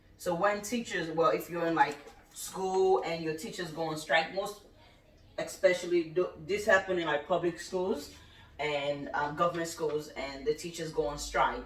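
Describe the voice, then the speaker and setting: Through noticeable background noise, a woman with a Nigerian accent speaks at a fairly low pitch with ordinary pitch variation. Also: moderate pace. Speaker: cooking channel host. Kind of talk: casual chat.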